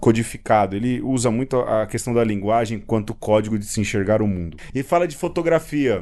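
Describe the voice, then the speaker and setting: A man's pitch rises and falls in an ordinary way as he talks at a moderate pace. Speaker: podcast host. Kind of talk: casual chat. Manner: halting.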